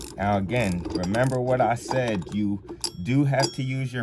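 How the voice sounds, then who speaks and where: Background noise clearly present under a fairly slow delivery. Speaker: DIY mechanic vlogger. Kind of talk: tutorial. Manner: casual, halting.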